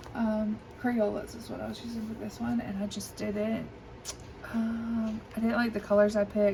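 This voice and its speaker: A woman's fairly high, monotone, flat voice with a slight Southern US accent, audible room echo and noticeable background noise. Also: moderate pace, big swings in loudness. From US South. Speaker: coloring hobby video creator. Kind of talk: casual show-and-tell. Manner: hesitant, many fillers.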